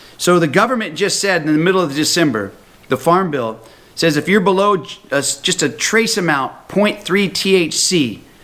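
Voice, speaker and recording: A man with an American accent speaks in a high pitch, animated in tone and lively in intonation, with audible room echo. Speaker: health products speaker. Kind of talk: recorded talk to a conference. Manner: fast.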